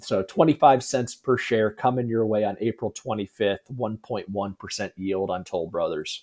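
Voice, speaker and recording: A man's put-on character voice, hoarse and medium in pitch, at a moderate pace with hardly any pauses. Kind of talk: business commentary.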